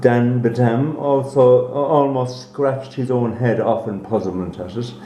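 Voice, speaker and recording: An Irish accent colors a man's medium-pitched voice, heard over noticeable background noise. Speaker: actor. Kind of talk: read story.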